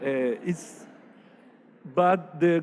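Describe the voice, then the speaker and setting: Speaking at a very slow pace, a man with a Spanish accent has a fairly high pitch. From Paraguay, Asunción. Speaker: architect. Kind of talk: lecture. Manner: halting.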